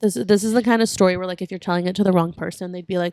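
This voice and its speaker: A woman with a plain, everyday voice talks at a fairly quick pace. Her pitch varies in an ordinary way, and the sound is dry and close with no echo. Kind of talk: casual podcast conversation.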